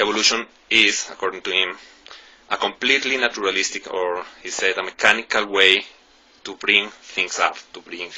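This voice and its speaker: This is a man talking. He has a non-native accent. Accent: non-native English speaker. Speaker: YouTuber discussing philosophy. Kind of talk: video monologue. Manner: halting, many fillers.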